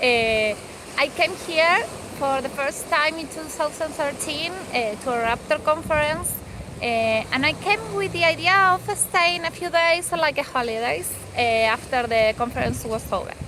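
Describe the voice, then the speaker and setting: A woman with an Argentine accent uses a raised, projected voice at a high pitch, moving at a fairly slow pace with lively intonation. Noticeable background noise can be heard. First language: Spanish. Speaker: field researcher. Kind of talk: recorded personal message. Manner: halting.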